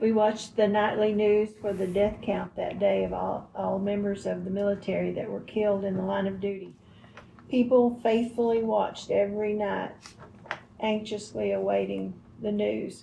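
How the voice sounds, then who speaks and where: There is audible room echo and noticeable background noise. A woman talks at a moderate pace. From Texas, Northeast (Greenville). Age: 80s+. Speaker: interviewee recalling history. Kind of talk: interview.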